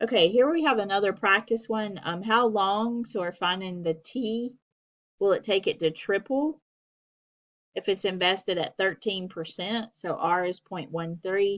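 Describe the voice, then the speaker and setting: At a fairly slow pace, a woman speaks in an unremarkable speaking voice, medium in pitch with ordinary pitch variation. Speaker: math instructor. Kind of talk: lecture.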